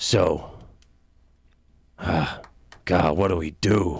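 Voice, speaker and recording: Putting on a raspy character voice, a man speaks with a very deep, low pitch and fairly even intonation. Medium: old radio play. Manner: hesitant, stumbling.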